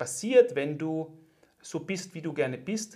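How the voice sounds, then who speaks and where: At a very slow pace, a man speaks somewhat breathily in a fairly high pitch with lively intonation. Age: 40s. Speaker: podcast host, former pro athlete. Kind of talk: scripted narration; interview.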